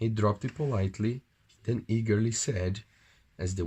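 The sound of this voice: Reading in an unforced reading voice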